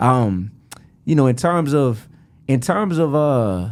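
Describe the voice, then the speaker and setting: With a New Orleans accent, a man talks using lively intonation. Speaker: rapper. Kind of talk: podcast interview. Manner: animated.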